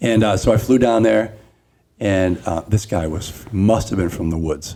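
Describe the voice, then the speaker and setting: Pitched fairly low, a man with a dark, mellow tone speaks at a moderate pace with ordinary pitch variation. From US, child of Italian immigrants. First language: Italian (regional dialect). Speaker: podcast host. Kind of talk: casual chat. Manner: animated.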